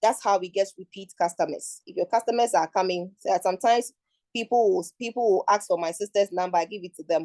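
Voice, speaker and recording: With a Ghanaian accent, a woman of medium pitch and dark, mellow tone speaks very fast with ordinary pitch variation and big swings in loudness, in a dry, close sound with no echo. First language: Twi. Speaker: international advisor, forum speaker. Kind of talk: talk at an online forum. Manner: halting, with repeated words.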